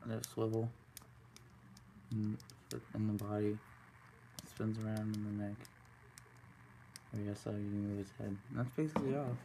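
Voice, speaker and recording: Over noticeable background noise, a man with a fairly low pitch and a dark, mellow tone speaks at a moderate pace, somewhat breathy, with fairly even intonation and long, frequent pauses. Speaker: toy reviewer. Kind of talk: product review; casual review chat. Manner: hesitant, many fillers. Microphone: phone near.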